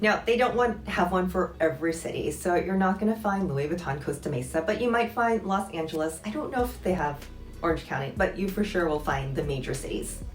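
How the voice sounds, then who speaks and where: A fairly quick delivery with hardly any pauses and lively intonation. Music plays in the background. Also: woman. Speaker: former luxury retail employee. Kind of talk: casual talk to camera. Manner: quiet, low voice.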